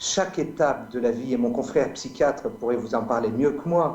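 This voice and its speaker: This man's voice has a dark, mellow tone at a medium pitch. His intonation is lively. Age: 50s. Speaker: medical doctor and speaker. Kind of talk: debate.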